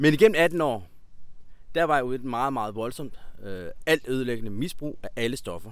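Pausing long and often, a man of medium pitch talks at a moderate pace. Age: 30s. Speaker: former addict turned healer and coach. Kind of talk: interview. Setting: outdoors in a park.

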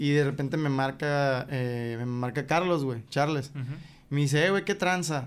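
The man has a normal speaking voice, fairly high in pitch with ordinary variation. He talks at a fairly slow pace. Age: 20s. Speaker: rapper. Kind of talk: casual chat.

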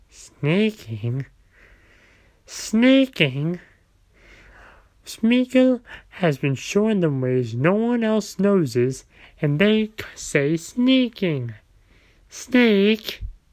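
Putting on a character voice, a man speaks raspy and high-pitched at a very slow pace, his pitch swinging very widely between long, frequent pauses. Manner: creepy, sneering.

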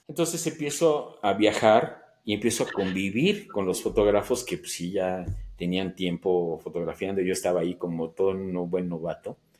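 With lively intonation, a man with an ordinary speaking voice talks at a moderate pace on a very clean recording with a silent background. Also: fairly low pitch for a man. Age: 60s. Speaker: amateur photographer. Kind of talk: interview.

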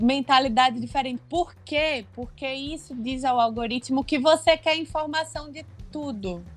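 A woman with a high voice speaks at a fairly slow pace. Her loudness swings widely while her pitch varies in an ordinary way. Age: 20s. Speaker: copywriter and screenwriter. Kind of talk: casual chat.

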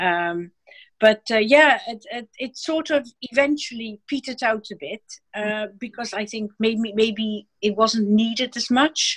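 The voice is somewhat breathy, with big swings in loudness. The sound is dry and close, with no echo. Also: woman, fairly high pitch for a woman, lively intonation, fairly slow pace. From Amsterdam, Netherlands. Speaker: dog collar maker. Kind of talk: casual interview chat. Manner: slightly nervous.

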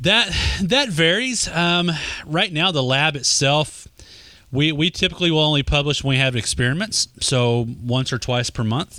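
A man with a Texas accent, bright, sharp tone, lively intonation and very even loudness. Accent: Texas Southern US. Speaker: social media marketing expert. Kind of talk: casual interview chat.

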